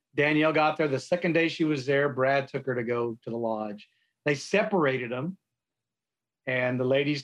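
Against a quiet background, a man with a South Texas accent talks at a moderate pace and medium pitch, with ordinary pitch variation. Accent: South Texas American. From South Texas, San Antonio. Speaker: Navy veteran and coffee entrepreneur. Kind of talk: casual interview chat.

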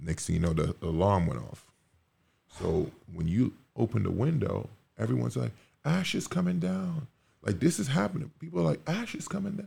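With long, frequent pauses and very wide pitch swings, a man with vocal fry and a fairly low pitch talks at a fairly quick pace. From Caribbean, Montserrat. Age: 30s. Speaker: professional basketball player. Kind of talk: casual chat. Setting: studio.

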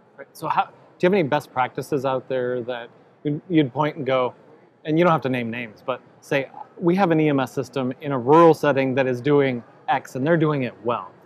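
Fairly quick and fairly high in pitch, this man's delivery is an unremarkable speaking voice with ordinary pitch variation. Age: 40s. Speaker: podcast host. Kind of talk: interview at a conference. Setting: expo event.

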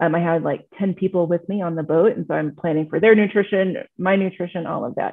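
A woman's plain, everyday voice, fairly low-pitched, with ordinary pitch variation and an American accent. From Texas. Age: 40s. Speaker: marathon swimmer. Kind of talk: casual chat.

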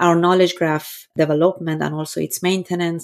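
Moderate pace and fairly even intonation in an Iranian accent, on a very clean recording with a silent background. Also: woman. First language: Persian. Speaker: data scientist. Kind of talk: interview.

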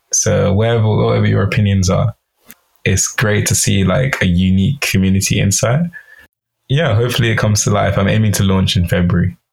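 A man with an unremarkable speaking voice, fairly low in pitch with ordinary pitch variation, at a fairly quick pace and very even loudness. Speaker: poet and brand strategist. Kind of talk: casual podcast interview.

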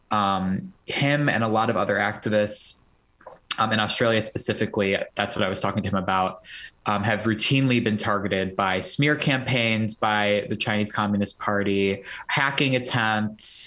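A man's fairly low, bright and sharp voice with fairly even intonation, very even loudness and a moderate pace. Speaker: student and pro-democracy activist. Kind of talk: remote interview.

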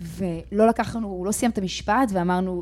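Fairly even intonation carries the woman's dark, mellow tone. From grew up in many countries; Israeli-Australian. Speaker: company founder. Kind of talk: interview. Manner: halting, many fillers.

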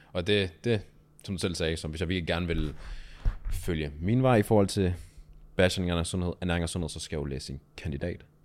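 Long, frequent pauses break up speech at a moderate pace. The recording is very clean, with a silent background. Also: man. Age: 20s. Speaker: personal trainer. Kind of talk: casual interview.

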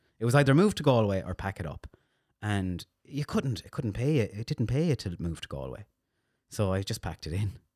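Very wide pitch swings and a fairly quick pace in a western Irish accent, dry and close with no echo, on a very clean recording with a silent background. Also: man, fairly low pitch for a man. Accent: Irish, west of Ireland. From Ireland, County Mayo (Castlebar). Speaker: radio DJ and social media manager. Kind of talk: casual chat.

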